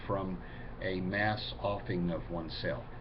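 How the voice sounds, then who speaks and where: A man talks at a fairly slow pace. He has an ordinary speaking voice with ordinary pitch variation. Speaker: pagan video blogger. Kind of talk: casual talk to camera, answering viewer questions.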